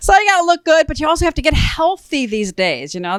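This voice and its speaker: A woman with an American accent talks at a fairly quick pace, her pitch swinging very widely. The recording is very clean with a silent background and a dry, close sound with no echo. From Chicago, US. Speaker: comedian. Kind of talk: stand-up. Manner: fast.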